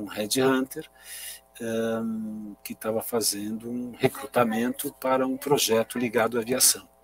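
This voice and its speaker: Medium-pitched male speech, fairly even intonation, music in the background. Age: 60s. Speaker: aviation industry association executive. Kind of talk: interview.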